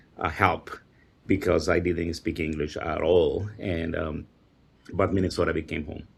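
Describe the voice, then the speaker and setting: With a Spanish accent, a man talks at a moderate pace in a very deep, low voice that is somewhat breathy and monotone, with flat intonation. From El Salvador. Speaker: teacher and immigrant advocate. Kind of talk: panel discussion. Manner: halting, many fillers.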